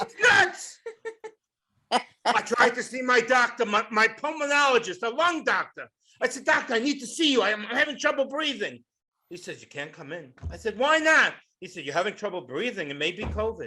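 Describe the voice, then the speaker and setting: Raised and projected, a man's extremely high voice has a bright, sharp tone, very wide pitch swings and big swings in loudness. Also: moderate pace. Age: 60s. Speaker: stand-up comedian. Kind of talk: stand-up. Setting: stage with audience.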